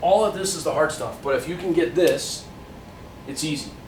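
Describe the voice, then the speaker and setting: A man speaks over noticeable background noise, with audible echo from the room. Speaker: math teacher. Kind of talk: tutorial.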